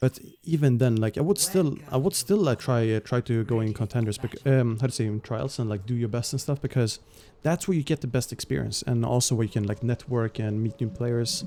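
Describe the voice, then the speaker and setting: A man talks at a fairly quick pace with a dark, mellow tone, medium pitch and ordinary pitch variation. The recording is very clean with a silent background. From Sweden. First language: Swedish. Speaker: esports caster and streamer. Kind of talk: live commentary. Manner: hesitant, many fillers.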